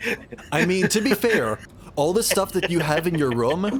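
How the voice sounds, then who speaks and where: A man at a moderate pace, his pitch swinging very widely, amid noticeable background noise. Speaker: streamer. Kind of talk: casual chat. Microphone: studio condenser microphone.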